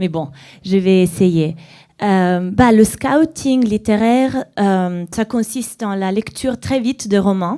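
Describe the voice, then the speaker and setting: In a very clean recording with a silent background, a woman with a dark, mellow tone and medium pitch speaks very slowly with ordinary pitch variation. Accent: Italian. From Italy, small town surrounded by woods. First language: Italian (speaking French). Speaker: novelist and literary scout. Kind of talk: author talk at library event. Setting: library auditorium with audience. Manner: halting, many hesitations.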